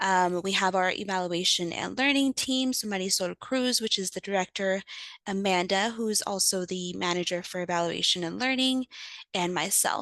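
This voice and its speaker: A woman's medium-pitched voice with ordinary pitch variation, dry and close with no echo. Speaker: program staff presenter. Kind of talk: webinar presentation. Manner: fast.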